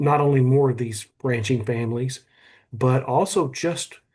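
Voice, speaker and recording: A man speaks at a fairly slow pace in a medium, somewhat breathy voice with ordinary pitch variation. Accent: Texan. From south Texas (Cuero). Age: 60s. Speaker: museum representative. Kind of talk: video call interview. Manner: halting, repetitive.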